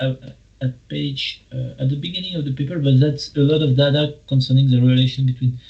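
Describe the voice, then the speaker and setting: A man with a medium pitch speaks at a moderate pace in a somewhat breathy voice. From France. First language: French. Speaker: philosopher. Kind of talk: academic discussion.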